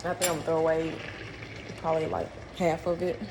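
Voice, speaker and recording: Noticeable background noise and audible room echo fill the recording. Over it, a woman talks. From St. Louis, Missouri (US Midwest). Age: 30s. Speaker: vlogger. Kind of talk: casual vlog chat while cooking. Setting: kitchen.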